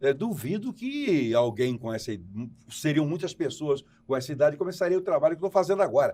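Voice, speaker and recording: A man speaks at a fairly high pitch with very wide swings up and down. His pace is fairly quick. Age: 70s. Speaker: tv host. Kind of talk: tv interview. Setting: remote broadcast from New York.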